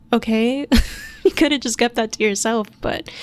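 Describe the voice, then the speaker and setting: A woman with an American accent speaks quietly at a fairly high pitch. Noticeable background noise is present. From Minnesota, US. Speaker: podcast host. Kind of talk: solo podcast monologue. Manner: casual.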